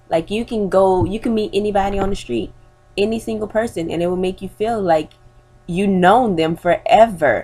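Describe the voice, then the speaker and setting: With music in the background, a woman speaks at a medium pitch and a moderate pace, her pitch varying in an ordinary way. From New Orleans, Louisiana. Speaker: student. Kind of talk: persuasive class speech. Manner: informal, with hesitations.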